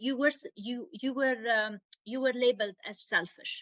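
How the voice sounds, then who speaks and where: A woman with a non-native accent speaks at a high pitch with ordinary pitch variation. Her pace is moderate. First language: not English. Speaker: women's health advocate. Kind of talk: podcast interview. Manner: halting.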